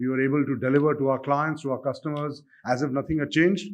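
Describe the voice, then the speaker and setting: The talk runs at a very fast pace with fairly even intonation over a quiet background. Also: man. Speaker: bank chief executive, keynote speaker. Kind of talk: keynote speech.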